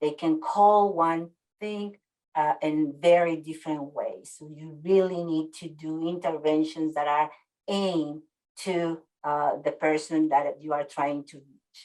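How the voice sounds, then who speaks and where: A woman with a Spanish accent speaks in a dark, mellow tone with very deep, low pitch, fairly even intonation, a fairly slow pace and big swings in loudness. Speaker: webinar presenter on worker health communication. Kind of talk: webinar presentation. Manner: hesitant, many fillers.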